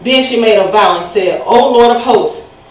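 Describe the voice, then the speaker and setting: A woman talks at a moderate pace, with audible room echo in the recording. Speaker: speaker. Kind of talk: scripture reading in a sermon. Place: church.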